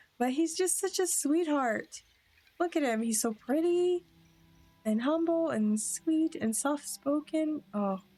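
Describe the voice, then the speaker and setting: Music plays in the background as a woman speaks at a very slow pace with lively intonation. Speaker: gameplay streamer. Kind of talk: casual gameplay commentary. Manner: halting. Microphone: audio issues in first recording.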